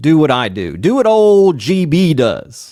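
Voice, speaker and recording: In a North Carolina accent, a man talks. His pitch swings very widely. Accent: Southern US (North Carolina), showing through. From North Carolina, US South. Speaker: fantasy football podcast host. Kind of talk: casual podcast monologue. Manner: animated.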